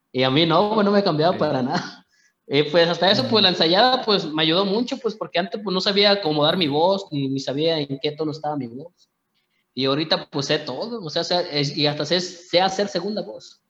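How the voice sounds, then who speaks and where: A man with a high voice talks at a fairly quick pace. His pitch varies in an ordinary way. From Mexico. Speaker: singer. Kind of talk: interview. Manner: halting.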